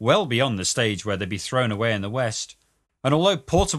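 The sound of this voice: Against a quiet background, an unforced reading voice carries lively intonation.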